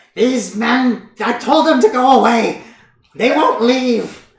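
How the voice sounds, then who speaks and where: The speaker uses a put-on character voice, pitched fairly high and delivered at a fairly slow pace. A slight echo surrounds it. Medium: actual play. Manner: nagging.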